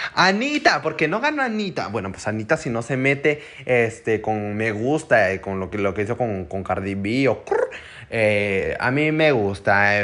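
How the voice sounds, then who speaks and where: A man talks at a fairly slow pace in an animated tone. Noticeable background noise sits behind him. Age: young. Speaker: podcast host. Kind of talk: casual chat.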